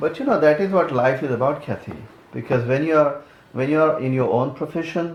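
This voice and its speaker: A man talks in a fairly high voice with ordinary pitch variation. Room echo is audible. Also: fairly quick pace. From India. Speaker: immigrant career coach. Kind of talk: interview. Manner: halting, repetitive starts.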